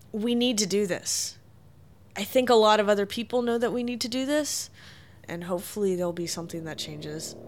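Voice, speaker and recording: Using an unremarkable speaking voice, a woman talks at a fairly quick pace with medium pitch and ordinary pitch variation. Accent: American. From US South, small-town Tennessee. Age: 30s. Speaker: activist. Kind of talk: interview conversation. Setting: her apartment.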